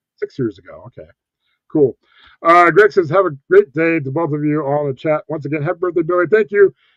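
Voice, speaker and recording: Using a normal speaking voice, a man with a fairly high pitch talks at a fairly quick pace with ordinary pitch variation and big swings in loudness, in a dry, close recording with no echo. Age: 40s. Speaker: live stream host, cruise and casino vlogger. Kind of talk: casual live stream chat. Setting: live stream with guest on panel.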